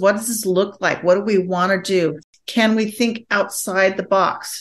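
This woman talks fairly slowly. She has a medium pitch. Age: 60s. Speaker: marriage and family therapist. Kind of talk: casual interview chat.

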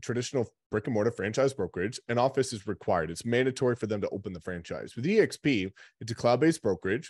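Against a quiet background, a man talks at a very fast pace with an animated tone and lively intonation, the sound dry with no echo. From New Brunswick, Canada (Rothesay); New Brunswick. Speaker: real estate agent and recruiter; real estate team leader hosting a call. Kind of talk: sales pitch; interview answer. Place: office.

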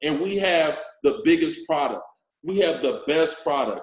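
Against a quiet background, a man speaks at a moderate pace with audible room echo. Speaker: forex network marketing leader and social media influencer. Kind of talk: motivational training talk. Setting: video call. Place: office. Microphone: video call.

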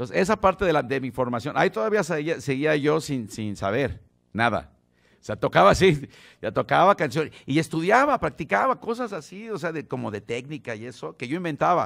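The speaker has a Mexico City accent and vocal fry, with very wide pitch swings. Delivery is at a fairly quick pace against a quiet background. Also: man, fairly high pitch for a man. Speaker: bass player teaching a masterclass. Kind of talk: masterclass talk. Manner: casual, halting with repetitions. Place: studio. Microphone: studio mic.

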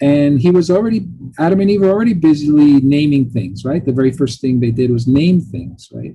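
A man with a fairly high, somewhat breathy voice makes very wide pitch swings at a fairly quick pace. His tone is dark and mellow against a quiet background. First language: Italian. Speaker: professor. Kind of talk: lecture. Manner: chatty, informal; filler-heavy, halting.

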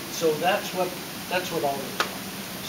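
Over loud background noise, a man speaks at a fairly slow pace with ordinary pitch variation. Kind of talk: informal explanation to visitors. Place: hall. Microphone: phone near.

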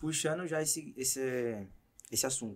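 Here a man is speaking at a fairly slow pace. His intonation stays fairly even. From Brazil. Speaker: podcast host; podcast host or guest. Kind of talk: casual chat. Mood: relaxed, casual. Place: studio. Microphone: studio mic.

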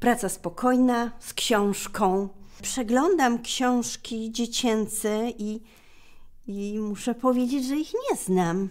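A woman speaks at a very slow pace with ordinary pitch variation and big swings in loudness. The background is quiet. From Poland, Nowa Huta (Kraków); Poland. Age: 60s. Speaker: retired school librarian and poet; poet. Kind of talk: personal reminiscence interview. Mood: warm, nostalgic. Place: shop.

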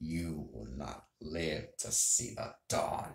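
A man growls in a put-on character voice at a very deep, low pitch, speaking at a very slow pace with lively intonation and an audible echo. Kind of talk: casual vlog chat with a dramatic quoted line. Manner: menacing.

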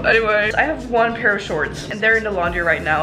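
Music can be heard in the background. Over it, a woman talks at a very fast pace. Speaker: student vlogger. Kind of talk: casual vlog chat. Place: home room. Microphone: phone near.

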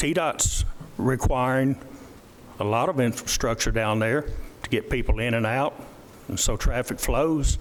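With a Tennessee accent, a man of medium pitch talks with long, frequent pauses. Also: ordinary pitch variation, moderate pace. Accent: Tennessee Southern. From US South. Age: 70s. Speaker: county commissioner. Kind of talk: public meeting remarks. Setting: council meeting.

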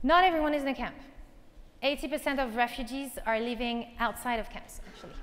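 A woman with a French accent talks at a fairly quick pace in a high pitch, with ordinary pitch variation and big swings in loudness. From northern France, near Calais; northern France. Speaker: nonprofit tech founder; conference speaker. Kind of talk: conference keynote. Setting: stage with audience. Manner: animated. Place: stage. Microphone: lapel.

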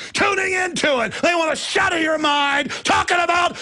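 A man with an American accent is shouting in a bright, sharp tone. He goes at a fairly slow pace. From Texas. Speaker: radio host. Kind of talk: political rant. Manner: loud, ranting.

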